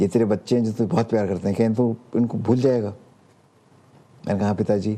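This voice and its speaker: A man speaks at a fairly low pitch in a dark, mellow tone. His pace is moderate, with fairly even intonation and very even loudness. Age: 70s. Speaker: preacher. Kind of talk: testimony.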